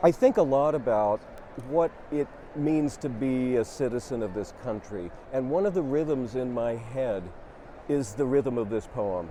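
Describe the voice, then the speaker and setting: Against noticeable background noise, a man with a medium pitch talks at a fairly slow pace with lively intonation. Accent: American. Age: 60s. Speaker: poet and professor. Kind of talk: personal reflection on a poem; reading poetry aloud. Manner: hesitant, with frequent ums.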